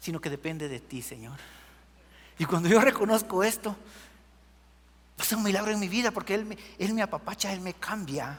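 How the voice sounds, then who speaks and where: Moderate pace, big swings in loudness and lively intonation, broken up by long, frequent pauses. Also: man, high pitch for a man. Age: 60s. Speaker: preacher. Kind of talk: sermon.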